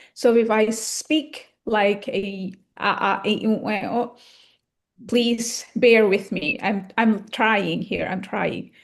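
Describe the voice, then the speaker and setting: A woman with an Indonesian accent speaks at a very slow pace. Her pitch is fairly high and her intonation fairly even. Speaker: English conversation club guest speaker. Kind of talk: casual chat. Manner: hesitant, many fillers.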